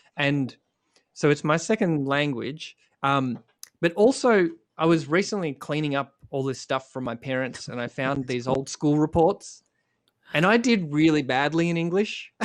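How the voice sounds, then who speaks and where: Someone talks at a moderate pace with an Australian accent. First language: Croatian. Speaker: musician. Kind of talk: casual chat.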